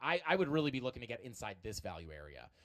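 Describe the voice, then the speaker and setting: On a very clean recording with a silent background, a man speaks at a very fast pace and a medium pitch. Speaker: crypto streamer. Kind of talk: live stream chart analysis. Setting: live stream. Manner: many filler words.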